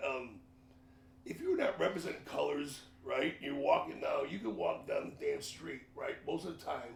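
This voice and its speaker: Someone with a Chicago accent speaks at a moderate pace amid audible room echo. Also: man. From Chicago, north side. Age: 60s. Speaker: podcast host. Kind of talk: casual interview. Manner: animated.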